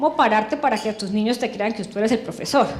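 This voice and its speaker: In a strong Santander accent, a woman talks at a fairly quick pace with fairly even intonation. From Colombia, Santander (Girón). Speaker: education official, former teacher. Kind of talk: testimony speech.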